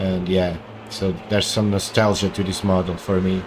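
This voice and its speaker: Noticeable background noise sits behind this man. He speaks with a Portuguese accent. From Portugal. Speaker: gaming streamer. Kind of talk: live gameplay commentary.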